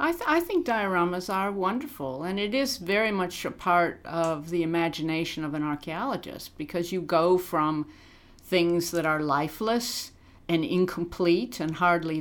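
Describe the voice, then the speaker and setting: This woman has an unremarkable speaking voice with an American accent and fairly low pitch. She speaks at a moderate pace with lively intonation. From US Midwest, Illinois. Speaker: archaeologist. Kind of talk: interview.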